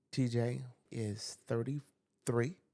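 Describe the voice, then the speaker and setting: A man with a New York accent, a dark, mellow tone, a medium pitch and fairly even intonation. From US Northeast, New York. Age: 60s. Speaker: school teacher. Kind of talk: podcast interview.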